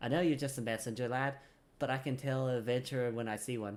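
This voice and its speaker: A put-on character voice rumbles along at a fairly quick pace with monotone, flat intonation. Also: man. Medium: game stream. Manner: blunt, grumbling, folksy.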